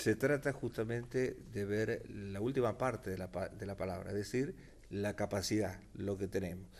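A man speaks at a fairly slow pace in a fairly low voice, with ordinary pitch variation. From Argentina, San Miguel de Tucumán; Argentina. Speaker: lawyer and political candidate; lawyer, candidate. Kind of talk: radio interview. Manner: hesitant, many fillers. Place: studio.

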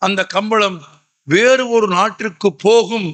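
This man's voice sits high in pitch. It carries a bright, sharp tone. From Tamil Nadu, Madurai. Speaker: public speaker. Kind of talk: public speech. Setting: stage with audience.

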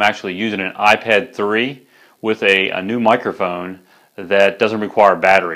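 Over a quiet background, a man speaks with a fairly low pitch and a bright, sharp tone. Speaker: product reviewer. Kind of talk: product review presentation. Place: studio. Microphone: lapel.

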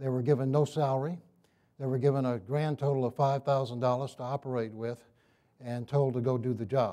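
Fairly even intonation and a dark, mellow tone carry this voice along at a moderate pace. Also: man, medium pitch for a man. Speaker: retired aerospace engineer and historian. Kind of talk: public presentation. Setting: stage with audience.

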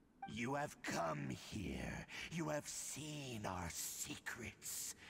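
Over clear background noise, a man uses a put-on character voice of medium pitch, going very slowly with very wide pitch swings. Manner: menacing.

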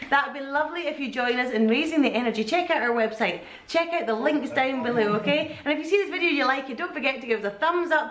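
Audible room echo accompanies speech delivered at a very fast pace. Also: woman. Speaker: family vlogger. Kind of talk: casual vlog chat. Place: home room. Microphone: camera far.

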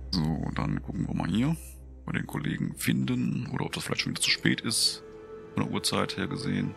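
A man at a moderate pace with faint music in the background. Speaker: gaming video creator. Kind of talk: casual gameplay commentary. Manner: calm.

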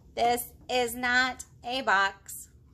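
A woman's put-on character voice, bright and sharp in tone, fairly high-pitched, very slow, with fairly even intonation.

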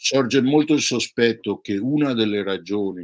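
With ordinary pitch variation and a moderate pace, a man talks against a quiet background. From Venice, Italy; Italy. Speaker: professor. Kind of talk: casual philosophical conversation. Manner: hesitant with fillers. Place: home room. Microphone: webcam.

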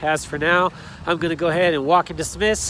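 A man talks at a fairly quick pace in a flat monotone, high-pitched for a man. The sound is dry with no echo, over light background noise. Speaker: vlogger. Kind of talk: casual vlog chat. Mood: subdued after a bad day. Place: street. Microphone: phone near.

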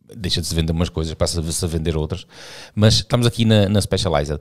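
The background is quiet. A man with a very deep, low pitch talks at a very fast pace. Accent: European Portuguese. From Portugal. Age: 50s. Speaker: cycling podcast host. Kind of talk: casual chat. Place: studio. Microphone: studio mic.

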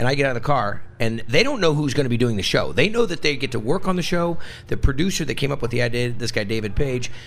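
A man talks very fast. His intonation is lively. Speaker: radio interview guest, TV host. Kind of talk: interview answer.

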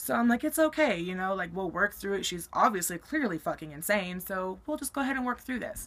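A bright, sharp-toned woman's voice with an American accent. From Colorado, US. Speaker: YouTuber. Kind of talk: storytelling vlog. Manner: casual, many fillers. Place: home room. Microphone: webcam.

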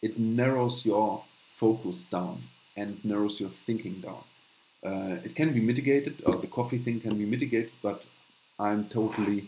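With a German accent, a man talks at a moderate pace with ordinary pitch variation over light background noise. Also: medium pitch for a man. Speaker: channel host, note-taking educator. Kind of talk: live stream tutorial with chat Q&A. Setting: live stream with screen share. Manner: halting, many fillers. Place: home room. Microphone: webcam.

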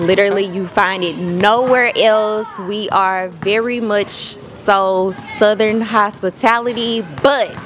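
Over music in the background, a woman speaks at a very slow pace with fairly even intonation. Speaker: interviewee. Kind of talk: interview answer. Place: street. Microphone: handheld.

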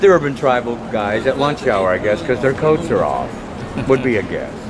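A man speaks with an American accent at a fairly quick pace. Noticeable background noise runs underneath. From Portland, Oregon. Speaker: street artist and poet. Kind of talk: interview answer. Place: street. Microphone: phone near.

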